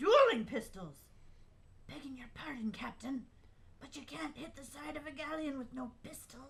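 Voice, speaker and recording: A put-on, high, female-sounding character voice at a moderate pace, with long, frequent pauses and clear background noise. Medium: stage play. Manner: hearty, deferential.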